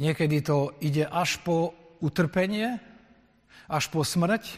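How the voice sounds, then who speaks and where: This man's voice sits high in pitch and moves with ordinary pitch variation. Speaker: Lutheran pastor. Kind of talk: sermon. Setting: church.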